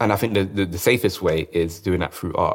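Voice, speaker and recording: A man's very deep, low voice with a London accent and fairly even intonation, very clean recording, silent background. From South London. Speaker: dancer and choreographer. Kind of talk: interview.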